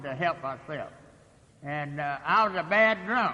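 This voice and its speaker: Against noticeable background noise, a man talks at a fairly slow pace. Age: 80s+. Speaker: AA speaker, recovering alcoholic. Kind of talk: recovery meeting talk. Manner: halting, many fillers.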